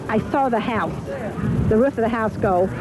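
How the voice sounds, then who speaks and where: A woman talks at a moderate pace over background music, the sound dry with no echo. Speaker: witness. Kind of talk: interview answer. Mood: shaken, recounting the event. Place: street. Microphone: handheld.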